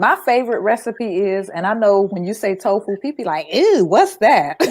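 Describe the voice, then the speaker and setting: A woman at a moderate pace with lively intonation. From Florida, Panama City. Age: 60s. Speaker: entrepreneur and vegan lifestyle guest. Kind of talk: casual interview chat. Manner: animated.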